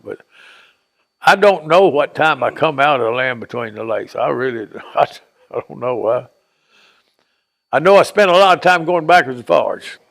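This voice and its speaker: A man with a Tennessee accent speaks at a moderate pace, his loudness swinging widely and his speech broken by long, frequent pauses. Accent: Southern US, Tennessee. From Dover, Tennessee. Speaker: retired diver and construction worker. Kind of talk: interview answer.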